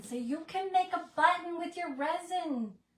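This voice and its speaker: A woman mumbles amid noticeable background noise. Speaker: crafter. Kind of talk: live craft tutorial. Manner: mumbling; chatty.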